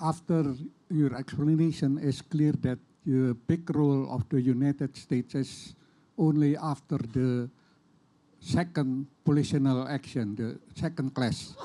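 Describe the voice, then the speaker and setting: At a fairly slow pace, a man with an Indonesian accent speaks in a fairly high pitch with a dark, mellow tone and fairly even intonation, in a very clean recording with a silent background. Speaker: audience member. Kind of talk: audience question. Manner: halting.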